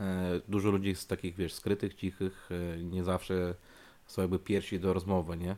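Very deep and low in pitch, a man's voice carries a dark, mellow tone as he speaks at a moderate pace in a monotone, flat intonation. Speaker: podcast host. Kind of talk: casual chat.

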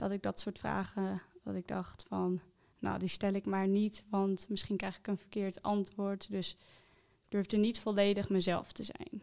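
A woman at medium pitch, monotone and flat, fairly slow, with big swings in loudness. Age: 20s. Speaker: coaching client sharing her story. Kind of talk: personal testimony interview. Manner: hesitant, many fillers.

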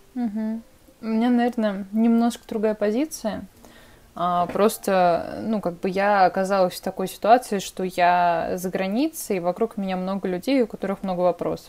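Moderate pace and ordinary pitch variation in a woman's dark, mellow tone. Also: medium pitch for a woman. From Russia. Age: 20s. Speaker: podcast co-host. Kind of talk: casual chat.

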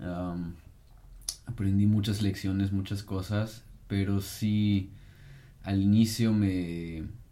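Amid audible room echo, a man speaks very slowly in a fairly low, flat monotone with long, frequent pauses. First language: German (speaking Spanish). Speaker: podcast co-host. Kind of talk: casual chat.

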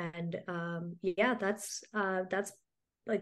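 The speaker is a woman talking fairly slowly. Her intonation stays flat and monotone. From Mumbai, India; moved to US at 11. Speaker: helpline founder. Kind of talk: interview. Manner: hesitant, many fillers.

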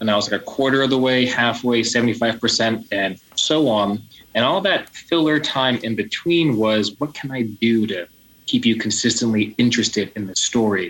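Speaking with an American accent, a man has a plain, everyday voice at a medium pitch, moderate pace and ordinary pitch variation. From New Jersey, US. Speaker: nonprofit founder. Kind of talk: interview.

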